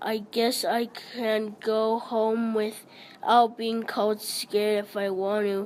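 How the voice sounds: Just a natural reading voice.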